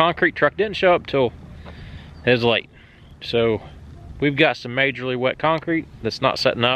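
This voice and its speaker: A man with an American accent, medium in pitch, bright and sharp in tone, at a moderate pace with ordinary pitch variation and long, frequent pauses. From southern Ohio. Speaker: sawmill and excavation channel host. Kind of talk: casual vlog talk.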